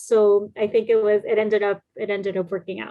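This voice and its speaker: A woman with a Spanish accent. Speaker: children's book author. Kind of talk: interview. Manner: casual, with many fillers.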